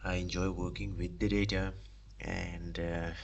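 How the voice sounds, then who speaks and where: Amid audible room echo, a man with a non-native accent speaks at a fairly slow pace in a very deep, low voice. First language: not English. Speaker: aspiring data analyst streamer. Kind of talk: live stream self-introduction. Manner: halting, many fillers and restarts.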